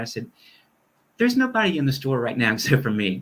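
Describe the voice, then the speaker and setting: A man's fairly high, somewhat breathy voice, fairly quick, with lively intonation. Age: 60s. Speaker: minister. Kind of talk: conversational interview.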